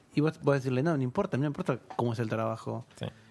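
A man in an Argentine accent speaks very fast at a medium pitch. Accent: Argentine Spanish (voseo). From Argentina, provinces outside Buenos Aires. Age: 30s. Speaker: philosopher. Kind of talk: casual chat. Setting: studio.

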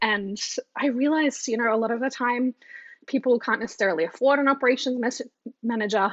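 With an Australian accent, a woman talks at a fairly quick pace in an energetic tone, her fairly high pitch showing ordinary variation. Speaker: business operations coach for photographers. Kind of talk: casual interview. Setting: video call from Australia.

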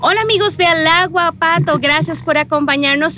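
A woman's raised, projected voice, bright and sharp in tone, with a dry, close sound and no echo. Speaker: podcast host. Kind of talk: casual interview.

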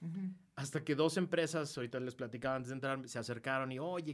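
With ordinary pitch variation and a medium pitch, the man talks at a fairly quick pace. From Mexico. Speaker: political activist and commentator. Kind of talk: casual chat. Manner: animated.

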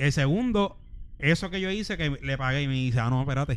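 This man has an ordinary speaking voice, pitched fairly high for a man. He talks at a moderate pace with lively intonation. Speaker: podcast co-host. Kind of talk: casual chat.

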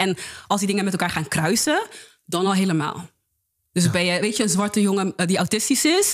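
This is a plain, everyday voice moving at a fairly quick pace with ordinary pitch variation. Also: woman. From Netherlands, Rotterdam-Zuid. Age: 20s. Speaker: peer educator. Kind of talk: casual interview.

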